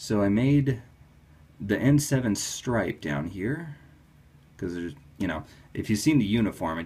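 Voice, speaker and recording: This man's voice is somewhat breathy. It swings very widely in pitch. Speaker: toy customizer. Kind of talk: casual talk to camera. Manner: enthusiastic.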